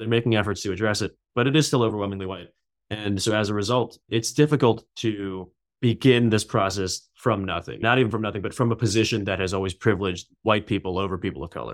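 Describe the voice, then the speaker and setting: A man's very fast, fairly low-pitched speech in an American accent, with ordinary pitch variation. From New York City. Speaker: novelist. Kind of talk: interview.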